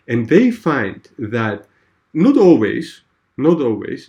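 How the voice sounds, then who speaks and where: The speech comes at a fairly slow pace over a quiet background. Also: man. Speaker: tutor. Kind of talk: one-on-one tutoring lesson. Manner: hesitant, many fillers; slow, deliberate explanation.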